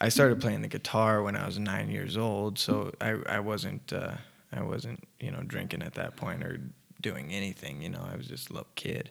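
A man speaks in a relaxed tone with vocal fry at a fairly low pitch. His pace is moderate and his pitch swings very widely. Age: 20s. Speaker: musician in a band, person in recovery. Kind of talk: casual interview chat. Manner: relaxed, casual.

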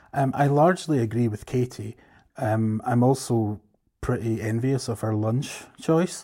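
Fairly slow speech from a man with a Scottish accent, medium in pitch, with ordinary pitch variation. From Scotland.

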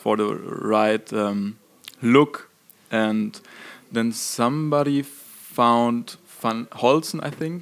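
In a German accent, a man talks at a very slow pace with ordinary pitch variation. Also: medium pitch for a man. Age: young. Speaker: rock band singer and guitarist. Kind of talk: interview. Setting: concert venue. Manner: halting.

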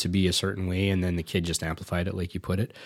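The speaker has a Canadian accent. The recording is very clean, with a silent background. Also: man. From Canada, Indian heritage. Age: 40s. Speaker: podcast host, musician. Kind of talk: casual chat.

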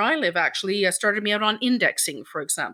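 In a very clean recording with a silent background, a woman with an Irish accent talks at a very fast pace and medium pitch. Her tone is bright and sharp, her intonation lively. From Ireland. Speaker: editor and communications consultant. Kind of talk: casual interview.

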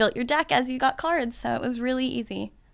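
Using a plain, everyday voice, a woman talks with ordinary pitch variation. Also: very clean recording, silent background. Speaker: cosplayer. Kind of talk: casual chat.

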